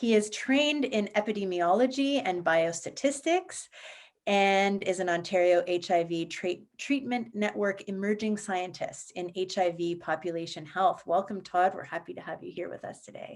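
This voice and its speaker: Against a quiet background, a woman at medium pitch speaks with lively intonation and big swings in loudness. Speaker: panel moderator. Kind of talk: moderated panel discussion. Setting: video call. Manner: slow, measured.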